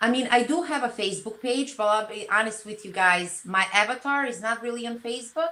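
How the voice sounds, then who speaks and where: Fairly high in pitch, a woman speaks with a Serbian accent amid noticeable background noise. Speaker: social media content creator. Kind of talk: interview.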